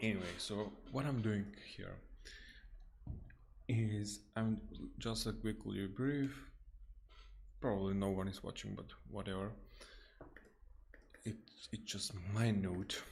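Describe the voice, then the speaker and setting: A man with a non-native accent and a fairly low pitch speaks at a fairly slow pace with fairly even intonation and long, frequent pauses, in audible room echo. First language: not English. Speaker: software developer streaming coding. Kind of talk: live coding stream. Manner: halting, many false starts.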